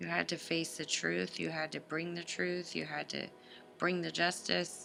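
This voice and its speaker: Over music in the background, a woman talks in a fairly low pitch with ordinary pitch variation. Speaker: tarot reader. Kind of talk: tarot reading to camera.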